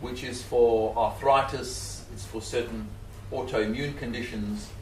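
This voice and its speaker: A man speaks with a Zimbabwean accent at a fairly slow pace. Room echo is audible and background noise is noticeable. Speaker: scientist and animal rights speaker. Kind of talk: public talk.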